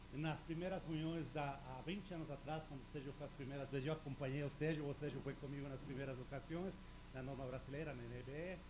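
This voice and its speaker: Audible room echo follows a man who talks at a very fast pace with a fairly high pitch and fairly even intonation. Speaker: industry technical presenter. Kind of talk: technical presentation.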